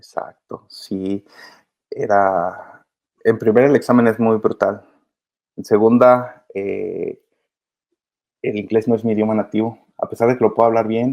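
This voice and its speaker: A man speaks at a fairly slow pace and a medium pitch. His intonation is monotone and flat, broken by long, frequent pauses. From Mexico, Michoacán. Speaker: migrant children's advocate. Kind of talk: interview.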